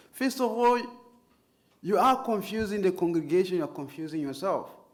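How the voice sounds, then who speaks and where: A man's voice ranges enormously in pitch, with noticeable echo from the room. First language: not English. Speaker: Islamic preacher and trainer. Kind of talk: lecture.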